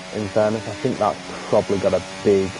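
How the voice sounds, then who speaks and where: A man speaks at a moderate pace. Noticeable background noise accompanies his voice. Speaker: gaming streamer. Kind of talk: live gameplay commentary. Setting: livestream. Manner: casual, animated.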